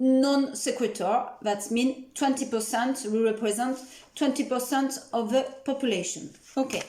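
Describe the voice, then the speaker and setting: A woman with a French accent speaks at a fairly slow pace, her pitch high and her intonation fairly even. Her loudness stays very even over noticeable background noise. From France. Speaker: nutritionist. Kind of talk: educational talk. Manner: halting.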